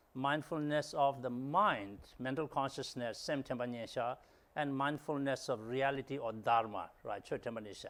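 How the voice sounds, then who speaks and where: Over a silent background in a very clean recording, a man speaks with a Tibetan accent. His pitch is medium, with ordinary variation, and his pace moderate. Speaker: dharma interpreter. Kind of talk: teaching translation. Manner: hesitant, many fillers.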